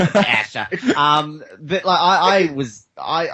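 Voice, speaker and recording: With an Australian accent, a man does the talking. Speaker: podcast host, guest panelist. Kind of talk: casual chat.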